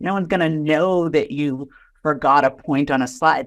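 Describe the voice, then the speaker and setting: Against a quiet background, a woman with an American accent speaks at a moderate pace. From Boston area, US. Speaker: innovation executive. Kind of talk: podcast interview.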